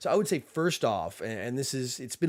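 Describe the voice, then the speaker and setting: A man with an American accent talks at a very fast pace. The recording is very clean, with a silent background. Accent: slight southern accent, slips in occasionally. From US South, Tennessee. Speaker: airsoft channel host. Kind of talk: livestream Q&A. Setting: livestream. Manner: casual, filler-heavy.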